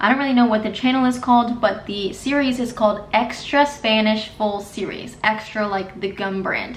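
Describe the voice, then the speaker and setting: A woman's fairly high, upbeat voice with an American accent, over noticeable background noise. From United States. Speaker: Spanish learner and YouTuber. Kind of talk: casual talk to camera.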